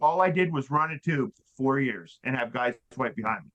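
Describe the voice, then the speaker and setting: A man speaks with a bright, sharp tone. His pace is moderate and his pitch variation is ordinary. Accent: American. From Western Nebraska. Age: 60s. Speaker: drywall finisher and sales rep. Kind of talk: casual interview chat, storytelling.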